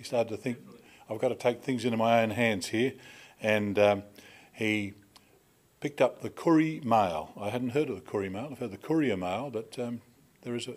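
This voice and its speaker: A man with an unremarkable speaking voice talks at a fairly quick pace, with ordinary pitch variation and big swings in loudness. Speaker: conference MC. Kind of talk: introduction speech. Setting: stage with audience. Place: hall. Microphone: podium.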